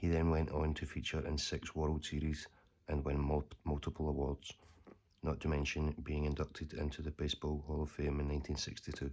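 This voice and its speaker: Soft-spoken and very deep, a man talks in a Scottish accent with flat, monotone intonation. His pace is fairly quick and his loudness very even. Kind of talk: ASMR letter reading.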